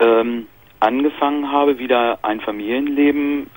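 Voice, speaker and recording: The pitch varies in an ordinary way. The sound is dry, with no echo. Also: man. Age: 30s. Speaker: caller. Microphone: phone line.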